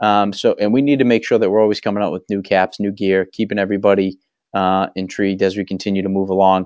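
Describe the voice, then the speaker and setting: A man speaks very fast with a Boston accent. His fairly low voice stays monotone and flat. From Massachusetts (Waltham, near Boston). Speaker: small business owner. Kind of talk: casual chat.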